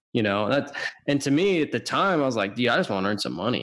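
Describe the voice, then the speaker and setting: Talking at a very fast pace, a man with an American accent has a medium pitch. His pitch swings very widely. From Washington state, US. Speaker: podcast host, accountant. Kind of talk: casual interview chat.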